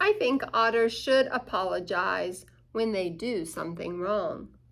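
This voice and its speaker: Using a put-on character voice with a gentle tone, a woman speaks fairly slowly at a medium pitch. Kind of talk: bedtime story. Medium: read story. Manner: earnest, gentle.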